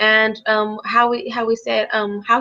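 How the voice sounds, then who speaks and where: A woman with a Spanish accent has a fairly high pitch and a bright, sharp tone. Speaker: English language teaching student. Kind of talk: academic discussion. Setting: live-streamed video call. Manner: halting, many fillers.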